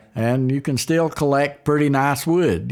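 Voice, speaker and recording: A man with an Appalachian accent at a moderate pace, intonation fairly even. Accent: Appalachian Southern US. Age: 70s. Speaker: guitar builder. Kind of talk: interview. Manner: halting.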